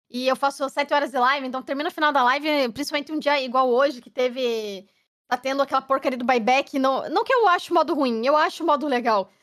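A woman talks at a very fast pace in a high pitch with ordinary pitch variation. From Curitiba, southern Brazil. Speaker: game streamer. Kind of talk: casual chat. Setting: live stream podcast.

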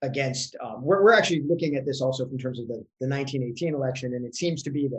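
A somewhat breathy male voice of medium pitch with ordinary pitch variation. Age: 50s. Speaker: economic historian, professor. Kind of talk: casual academic interview.

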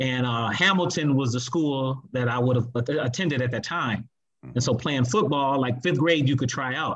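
Someone with an ordinary speaking voice and an American accent talks at a moderate pace. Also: man, medium pitch for a man, ordinary pitch variation. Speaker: former high school quarterback. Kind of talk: casual chat.

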